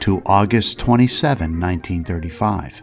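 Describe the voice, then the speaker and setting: A man's fairly low voice at a fairly slow pace, with music in the background. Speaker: podcast host. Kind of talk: podcast introduction.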